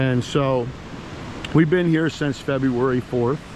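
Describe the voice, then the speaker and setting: A man talks in a medium pitch. Background noise is noticeable behind his voice. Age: 60s. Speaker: spiritual vlogger. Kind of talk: casual vlog monologue. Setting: outdoors on a beach.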